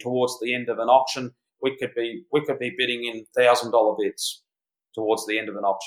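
A man with an Australian accent, medium pitch, fairly even intonation and a fairly quick pace. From Australia, rural background. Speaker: real estate agent and auctioneer. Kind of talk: interview.

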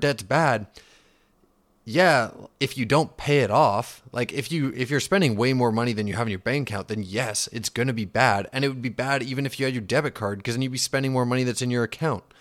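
On a very clean recording with a silent background, a man with a Western Canadian accent talks at a medium pitch and a fairly quick pace. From Canada, Vancouver region. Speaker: finance podcast host. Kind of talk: casual explainer. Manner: casual, filler-heavy.

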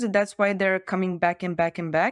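The speaker has a Bulgarian accent. The sound is dry and close with no echo, over a quiet background. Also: woman. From Bulgaria, Varna. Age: 20s. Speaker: startup founder. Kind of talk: casual interview.

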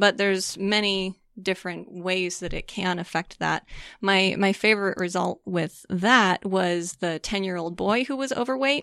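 A woman talks at a medium pitch and a moderate pace, with ordinary pitch variation. Her tone is bright and sharp against a quiet background. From US Midwest, St. Louis, Missouri. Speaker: neurofeedback practitioner. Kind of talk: interview.

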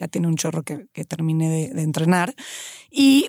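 An unremarkable speaking voice moves at a fairly quick pace, with a dry, close sound with no echo. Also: woman. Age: 30s. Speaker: personal trainer. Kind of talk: casual chat.

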